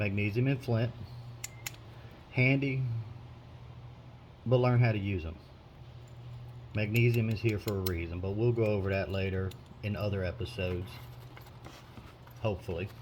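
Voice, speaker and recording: Somewhat breathy, the speaker uses ordinary pitch variation and takes long, frequent pauses. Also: man, fairly low pitch for a man, moderate pace. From US South. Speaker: prepper video maker. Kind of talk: show-and-tell tutorial. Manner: casual, relaxed with hesitations.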